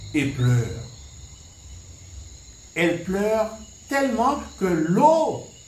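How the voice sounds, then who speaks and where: Very slowly and with long, frequent pauses, a man speaks at high pitch with very wide pitch swings. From Guadeloupe. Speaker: storyteller, head of a cultural association. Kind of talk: folk tale retelling and explanation.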